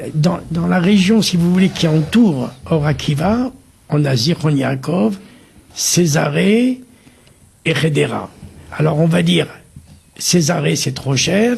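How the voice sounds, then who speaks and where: At a very slow pace with long, frequent pauses, a man speaks at a fairly high pitch with lively intonation. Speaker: community volunteer, kashrut worker. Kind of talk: TV interview.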